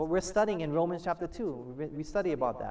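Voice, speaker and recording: The tone is animated. Pitch swings very widely. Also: man. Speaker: pastor. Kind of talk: sermon. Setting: church. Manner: animated call-and-response preaching, prompting the congregation to shout amen; emphatic, repeating key phrases and asking the audience to fill in words.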